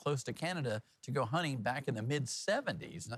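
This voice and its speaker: Very wide pitch swings and a fairly quick pace come through in a very clean recording with a silent background. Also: man. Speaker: TV news anchor. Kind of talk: TV news headline read.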